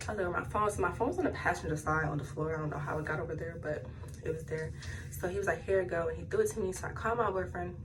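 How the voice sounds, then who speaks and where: Talking at a very fast pace, a woman is recorded with audible room echo and noticeable background noise. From New Jersey. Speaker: vlogger. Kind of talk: storytime. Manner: animated.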